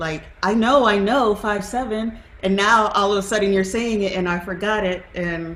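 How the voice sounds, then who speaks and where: Amid noticeable background noise and audible room echo, a woman of medium pitch talks at a moderate pace with fairly even intonation. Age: adult. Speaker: adult piano student. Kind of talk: casual question in a lesson. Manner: hesitant, with fillers.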